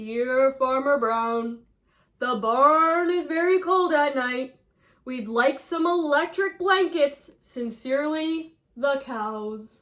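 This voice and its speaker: A female-sounding voice puts on a character voice with a high pitch. She speaks at a very slow pace. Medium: read story.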